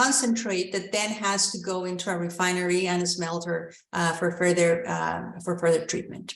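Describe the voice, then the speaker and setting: With a Spanish accent, a woman speaks at a moderate pace and medium pitch, with hardly any pauses. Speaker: mining company executive. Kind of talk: investor Q&A. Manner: halting, many fillers.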